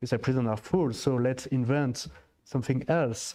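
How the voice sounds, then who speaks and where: The voice has a dark, mellow tone and fairly even intonation, with a French accent. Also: man. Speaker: diplomat. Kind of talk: panel discussion. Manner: halting.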